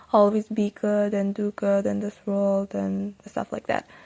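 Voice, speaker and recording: With a Persian accent, a woman speaks fairly slowly in a dark, mellow tone, the sound dry and close with no echo. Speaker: Quran learning YouTuber. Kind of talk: tutorial. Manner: animated.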